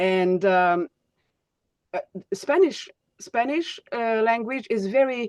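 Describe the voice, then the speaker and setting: A woman with a Hungarian accent speaks in a fairly high pitch with very wide pitch swings, captured in a dry, close sound with no echo. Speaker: speech coach. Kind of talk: webinar teaching. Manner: halting, many fillers.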